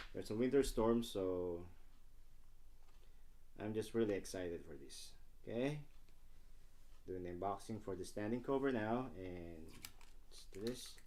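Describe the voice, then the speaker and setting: A man in a non-native accent, dark and mellow in tone, at a moderate pace. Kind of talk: casual unboxing talk to camera.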